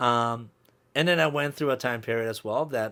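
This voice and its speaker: The speech moves at a fairly quick pace with lively intonation. The recording is very clean, with a silent background. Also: man. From Colombia, moved to small-town US as a child. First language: Spanish. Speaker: DJ. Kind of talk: podcast interview.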